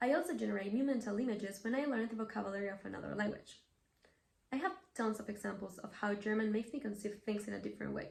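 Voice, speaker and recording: A woman with a Spanish accent, a fairly high pitch, ordinary pitch variation and a very fast pace. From Mexico. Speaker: language learner presenting an essay. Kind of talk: scripted video essay.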